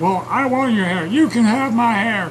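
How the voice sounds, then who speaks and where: Against clear background noise, a man uses a high-pitched put-on character voice at a moderate pace. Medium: solo performance. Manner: crude, loud, ranting.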